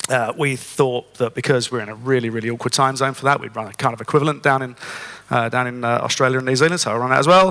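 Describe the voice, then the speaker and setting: Speaking very fast, a man with a British accent keeps a medium pitch with ordinary variation. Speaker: conference speaker. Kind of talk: conference talk.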